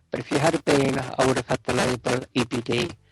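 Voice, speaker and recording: Music plays in the background as a man at a medium pitch speaks at a moderate pace, the sound dry and close with no echo. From London, England. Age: 60s. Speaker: radio DJ. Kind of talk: interview.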